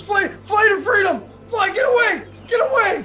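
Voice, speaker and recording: A put-on character voice shouting at an extremely high pitch at a moderate pace, over light background noise. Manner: shouting, frantic, delirious.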